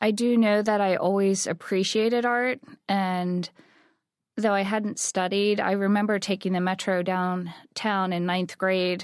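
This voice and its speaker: A woman's medium-pitched voice, monotone and flat, at a fairly slow pace with very even loudness, in a very clean recording with a silent background. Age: 40s. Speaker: artist and studio founder. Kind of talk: interview.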